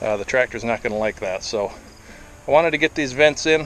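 A man at a fairly quick pace with ordinary pitch variation, dry sound with no echo, and light background noise. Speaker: property owner vlogger. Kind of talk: casual vlog chat. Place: open country. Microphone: phone near.

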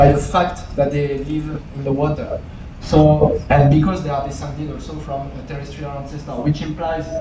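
A man at a moderate pace over noticeable background noise. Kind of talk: lecture. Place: hall.

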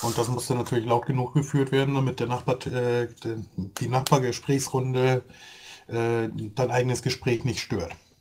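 A man's somewhat breathy voice, monotone and flat, at a fairly slow pace. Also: medium pitch for a man. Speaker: gaming podcast co-host. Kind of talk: casual chat.

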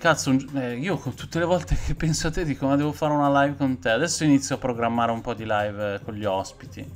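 Medium pitch from a man, ordinary pitch variation, and light background noise. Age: 40s. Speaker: horror film youtuber. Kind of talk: live stream film review chat. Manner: animated; halting. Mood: relaxed, joking. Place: home room. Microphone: webcam.

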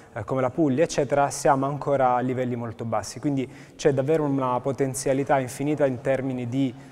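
A man talks at a very fast pace. His intonation stays flat and monotone. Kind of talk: interview answer. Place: hall. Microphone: lapel.

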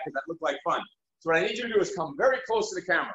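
A man's voice carries audible room echo. The background is quiet. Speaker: fitness coach. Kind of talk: workout instruction. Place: gym. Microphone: video call.

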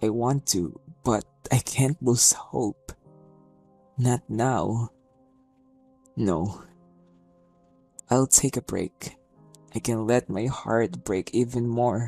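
Over music in the background, a man speaks at a very slow pace with long, frequent pauses, using a medium pitch and ordinary pitch variation in a dry, close sound with no echo. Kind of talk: spoken word poetry performance.

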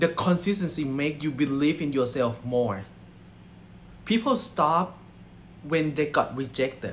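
Somewhat breathy and with a Thai accent, a man speaks with ordinary pitch variation over light background noise. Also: fairly slow pace. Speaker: network marketing distributor. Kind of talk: motivational speech. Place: home room. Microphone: phone near.

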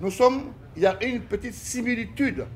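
A man at a fairly slow pace over light background noise. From Guinea. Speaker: ballet company director. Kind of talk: interview. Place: home room. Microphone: phone near.

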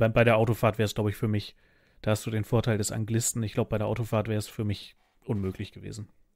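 The delivery is very fast and monotone, with flat intonation, a dry sound with no echo and a quiet background. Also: man. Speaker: podcast host. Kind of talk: casual chat. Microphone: studio mic.

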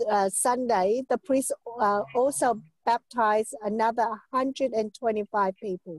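A woman with a plain, everyday voice speaks at a fairly high pitch with ordinary pitch variation. The sound is dry with no echo, over a quiet background. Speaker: church member. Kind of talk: testimony. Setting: video call. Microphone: video call.

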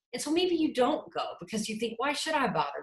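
A woman's passionate, very fast speech in a Texan accent, with very wide pitch swings. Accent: Texan American English. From Houston, Texas. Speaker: political candidate, lawyer. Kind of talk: campaign talk, interview answer.

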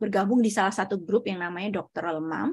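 Somewhat breathy, a woman talks at a fairly quick pace with ordinary pitch variation. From Indonesia, Surabaya; East Java, Indonesia. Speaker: researcher and doctoral student; presenter. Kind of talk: lecture. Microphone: video call.

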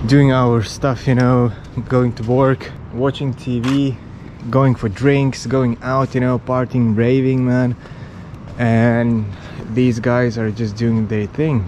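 Over light background noise, a man speaks very slowly in a monotone, flat intonation. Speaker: travel vlogger. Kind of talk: casual vlog chat. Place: tunnel cave. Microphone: phone near.

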